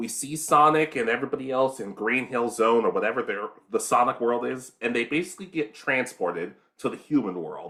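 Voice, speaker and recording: There is vocal fry in this man's bright, sharp voice. He speaks at a moderate pace with very wide pitch swings. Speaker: anime podcast co-host. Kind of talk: casual chat.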